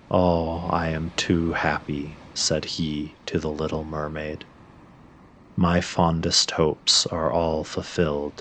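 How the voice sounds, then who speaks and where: A man's very deep, low voice, calm and soothing, very slow and monotone. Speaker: sleep story narrator. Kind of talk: sleep story reading. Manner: calm, soothing, slow.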